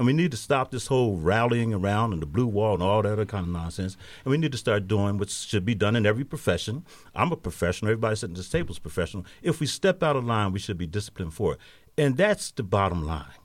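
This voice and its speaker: A man at a very fast pace, fairly low in pitch with very wide pitch swings, on a very clean recording with a silent background. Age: 60s. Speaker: pastor and community nonprofit manager. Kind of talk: panel discussion on radio. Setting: radio studio.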